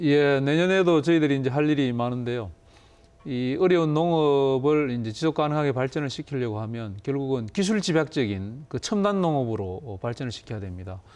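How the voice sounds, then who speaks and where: At a moderate pace, a man with a fairly high pitch speaks with lively intonation. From South Korea. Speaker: government agency head; guest. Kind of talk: TV interview. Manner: formal. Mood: friendly, smiling. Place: studio.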